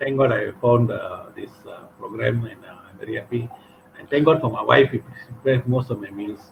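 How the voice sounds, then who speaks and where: Loudness swings widely in this fairly quick speech, set against noticeable background noise. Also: man. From Malaysia. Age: 60s. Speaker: patient. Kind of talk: testimony.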